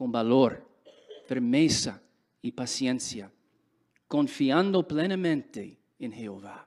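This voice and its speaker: The recording is very clean, with a silent background. A man with an English accent speaks at a very slow pace. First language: English (speaking Spanish). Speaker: religious speaker. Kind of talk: sermon.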